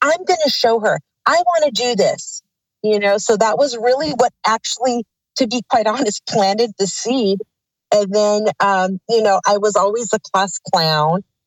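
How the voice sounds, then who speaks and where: A woman with a Californian accent, lively intonation, very even loudness and a moderate pace. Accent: Californian American. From Los Angeles, California. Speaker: actress. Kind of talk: interview.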